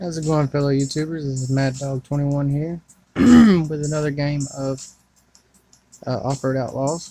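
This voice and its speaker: With music in the background, a man speaks at a moderate pace in a fairly high pitch, using ordinary pitch variation and long, frequent pauses. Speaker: mobile gaming YouTuber. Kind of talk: gameplay commentary. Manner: quieter than normal.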